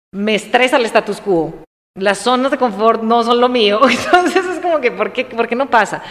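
A woman speaks in a plain, everyday voice at a fairly high pitch. Her intonation is lively, and her pace is moderate. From Colombia, coffee region (Armenia, Quindío). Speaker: business consultant. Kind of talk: casual interview chat.

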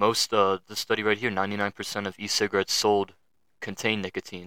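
In a very clean recording with a silent background and a dry, close sound with no echo, a man talks at a fairly quick pace with a fairly low pitch and a bright, sharp tone. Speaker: podcast host. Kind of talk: casual monologue. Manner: halting, many fillers. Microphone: new microphone and setup, settings adjusted.

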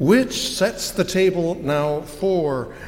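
This is a man with a high pitch. Noticeable background noise can be heard. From United States. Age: 60s. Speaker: pastor. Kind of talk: sermon. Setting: church.

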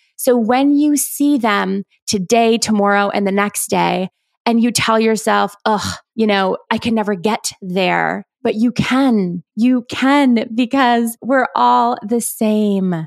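A woman speaks at a very slow pace with very even loudness, in a very clean recording with a silent background. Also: fairly high pitch for a woman, ordinary pitch variation, dry, close sound with no echo. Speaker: psychologist turned business coach podcast host. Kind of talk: solo podcast monologue.

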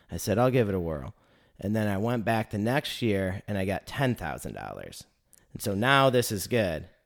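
A man with an American accent and a plain, everyday voice speaks at a moderate pace in a fairly low pitch with ordinary pitch variation, in a very clean recording with a silent background. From Northern Michigan. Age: 30s. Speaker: podcast host. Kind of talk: interview.

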